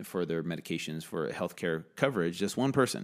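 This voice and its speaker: A very deep, low male voice with an American accent on a very clean recording with a silent background. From US, San Diego then Virginia. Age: 30s. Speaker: fitness and wellness coach. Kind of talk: podcast interview.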